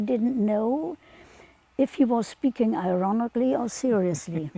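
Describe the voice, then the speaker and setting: Against noticeable background noise, a woman with a non-native accent speaks at a fairly slow pace, with a fairly high pitch and lively intonation. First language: not English. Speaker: friend of the philosopher interviewed. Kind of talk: prepared statement read aloud.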